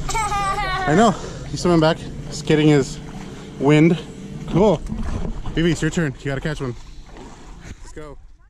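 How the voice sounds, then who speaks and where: Over noticeable background noise, a man speaks with big swings in loudness and long, frequent pauses. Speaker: vlogger. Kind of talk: casual vlog narration. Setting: outdoors. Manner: animated.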